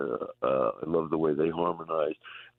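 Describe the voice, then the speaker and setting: This is a man's voice. He speaks with a New York accent. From US Northeast, Long Island, New York. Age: 70s. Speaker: rock musician. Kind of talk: radio interview. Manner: halting.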